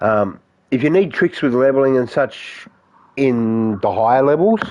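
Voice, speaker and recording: At a moderate pace and medium pitch, a man speaks with lively intonation and very even loudness. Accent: Australian. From Australia. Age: 50s. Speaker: gaming streamer. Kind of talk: live stream chat with viewers. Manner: casual, halting.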